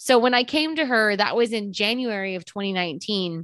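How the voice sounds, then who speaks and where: A woman with a Texan accent has a bright, sharp tone. She moves at a moderate pace with lively intonation. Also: quiet background. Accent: Texan American. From Texas. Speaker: podcast host. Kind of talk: casual interview. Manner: talkative.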